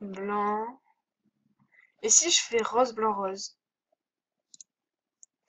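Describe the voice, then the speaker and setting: A woman speaks with fairly even intonation. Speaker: video game youtuber. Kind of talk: gameplay commentary. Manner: hesitant.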